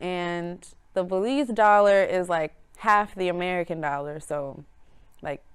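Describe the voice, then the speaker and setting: A woman talks in an unremarkable speaking voice, fairly low in pitch, with ordinary pitch variation and a fairly slow pace. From Chicago, south side, Belizean parents. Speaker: musician. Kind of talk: casual interview.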